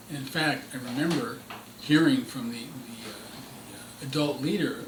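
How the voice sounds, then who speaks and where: A man speaks with an American accent. Noticeable background noise and audible room echo surround him. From US Northeast, New York (Queens, Rye). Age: 70s. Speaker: civil rights veteran. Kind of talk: interview. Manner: halting, many fillers.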